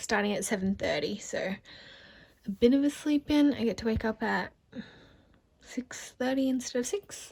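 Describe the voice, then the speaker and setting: Here a woman speaks in an Australian accent. Her pitch shows ordinary variation. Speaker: vlogger. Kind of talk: casual vlog talk.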